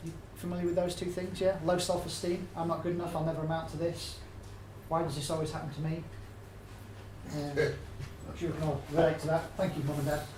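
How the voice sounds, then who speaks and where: Amid noticeable background noise and audible room echo, a man in an English accent talks at a fairly quick pace with a fairly high pitch. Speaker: health and nutrition speaker. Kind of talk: public talk. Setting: stage with audience. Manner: fast; animated.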